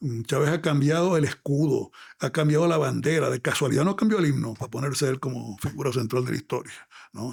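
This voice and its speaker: Recorded very cleanly with a silent background, a man talks at a fairly quick pace in a fairly high pitch, showing vocal fry and ordinary pitch variation. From Venezuela, Zulia state. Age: 80s+. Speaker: lawyer and former congressman. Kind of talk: long-form podcast interview.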